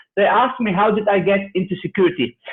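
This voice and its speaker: This is a man talking. His pitch sits high. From Germany, Turkish parents. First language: German or Turkish. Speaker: cybersecurity expert. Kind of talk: interview.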